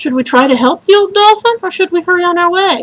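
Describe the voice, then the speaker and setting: The put-on character voice sounds squeaky. It runs at a very fast pace. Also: woman. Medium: read story.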